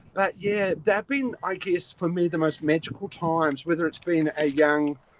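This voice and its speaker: Heard in a dry, close sound with no echo, a man with a New Zealand accent speaks at a high pitch with ordinary pitch variation. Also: moderate pace. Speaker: koala conservation volunteer. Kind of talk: casual interview. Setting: outdoors, in a small shelter, video call. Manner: halting, many fillers and repeats.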